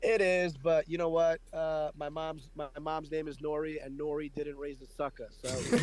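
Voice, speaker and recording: Speaking with a New York accent, the man keeps his intonation fairly even. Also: fairly high pitch for a man, moderate pace. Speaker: radio personality, podcast host.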